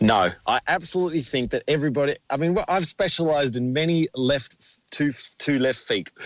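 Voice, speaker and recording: Speaking with an Australian accent, a man uses a fairly high pitch for a man and ordinary pitch variation. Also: dry, close sound with no echo. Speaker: dance teacher and choreographer. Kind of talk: radio interview.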